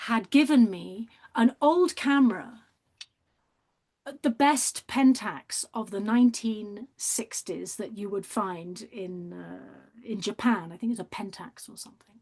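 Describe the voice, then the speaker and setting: With a British accent, the voice is somewhat breathy and very slow. Intonation is lively, and loudness swings widely. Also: woman. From Britain. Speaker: artist and documentary maker. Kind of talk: interview. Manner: animated.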